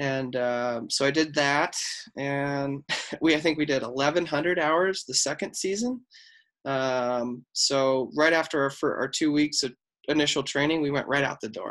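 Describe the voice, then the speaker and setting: This man has a plain, everyday voice, fairly high in pitch, with an American accent. He talks at a fairly slow pace with fairly even intonation. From Colorado, Highlands Ranch. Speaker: former Marine and firefighter, athletic trainer. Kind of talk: interview.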